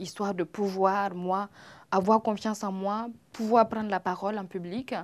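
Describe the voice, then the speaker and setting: The speaker has a Burkinabe accent and fairly even intonation. The recording is very clean, with a silent background. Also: woman. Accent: Burkinabe African accent in French. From Burkina Faso. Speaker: comedian and actress. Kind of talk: interview. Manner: hesitant, many fillers.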